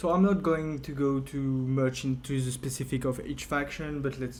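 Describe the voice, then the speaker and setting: A man with a French accent talks at a moderate pace, his medium-pitched voice carrying fairly even intonation. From France. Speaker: video game tutorial creator. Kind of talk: tutorial. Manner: hesitant, many fillers.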